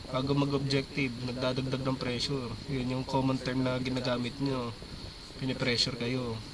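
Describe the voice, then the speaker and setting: A man at medium pitch speaks with monotone, flat intonation amid audible room echo and noticeable background noise. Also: moderate pace. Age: 30s. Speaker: esports coach. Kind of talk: team feedback session.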